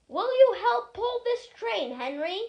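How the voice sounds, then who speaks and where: Using a put-on character voice, a woman squeaks at an extremely high pitch with very wide pitch swings, at a fairly slow pace. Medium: read story.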